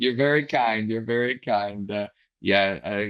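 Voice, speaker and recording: A man in a normal speaking voice, with an American accent, speaks at a moderate pace and a fairly low pitch. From US Midwest, Chicago. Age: 60s. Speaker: business owner, litigation funding executive. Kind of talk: casual interview chat.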